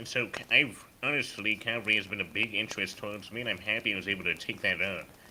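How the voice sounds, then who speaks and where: A man talks at a very fast pace. His pitch is fairly low and his intonation fairly even. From United States. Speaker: gaming group officer. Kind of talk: casual interview.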